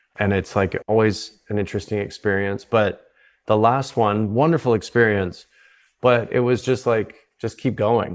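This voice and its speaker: Spoken in a normal speaking voice with a Canadian accent, at a moderate pace and with fairly even intonation, the clip is a very clean recording with a silent background. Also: man, fairly low pitch for a man. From South Africa. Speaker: psychedelic retreat founder. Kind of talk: podcast interview.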